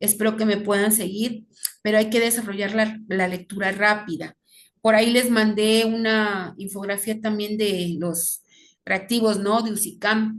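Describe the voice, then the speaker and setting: A woman's fairly high voice, fairly slow pace, monotone and flat intonation. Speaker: teacher. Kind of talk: lecture.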